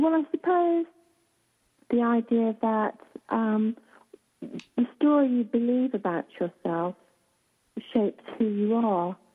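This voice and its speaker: Speaking very slowly with long, frequent pauses, a woman keeps a very even loudness, her fairly high voice carrying lively intonation. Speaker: author, radio guest. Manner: slow, unhurried speech.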